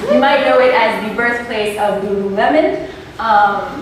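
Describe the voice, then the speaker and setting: A woman's voice rises and falls in a lively way, with noticeable noise in the background and audible echo from the room. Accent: French Canadian. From New Brunswick, Canada (Grand Falls, francophone). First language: French. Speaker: presenter. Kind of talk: presentation. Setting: speaking in public to an audience. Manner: shaky, sounds close to tears.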